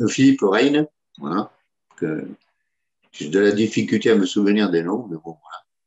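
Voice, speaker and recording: A man with a fairly low pitch. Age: 60s. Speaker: petanque player. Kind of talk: interview. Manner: hesitant, many fillers.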